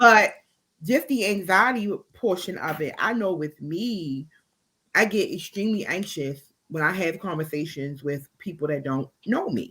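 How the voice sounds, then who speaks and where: A woman has a bright, sharp tone at a medium pitch. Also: lively intonation, fairly slow pace. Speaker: podcast co-host. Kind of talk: casual chat.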